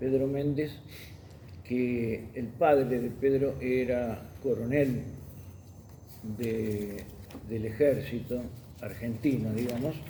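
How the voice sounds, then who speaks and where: Speaking very slowly with long, frequent pauses, a man has a dark, mellow, somewhat breathy voice and fairly even intonation, with audible room echo. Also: medium pitch for a man. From Argentina, Buenos Aires. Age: 70s. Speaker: journalist and magazine editor. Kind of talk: testimony interview.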